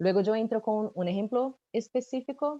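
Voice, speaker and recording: A woman's dark, mellow voice with lively intonation and a Brazilian accent. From Brazil, São Paulo. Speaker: supply chain consultant. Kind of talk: webinar panel presentation. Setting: webcast.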